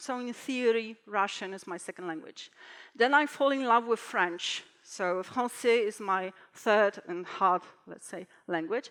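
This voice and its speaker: With a Polish accent, a woman speaks fairly slowly in a fairly high, bright, sharp voice with ordinary pitch variation. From Poland. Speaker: translator and conference speaker. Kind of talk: conference talk. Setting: stage with audience. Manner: halting.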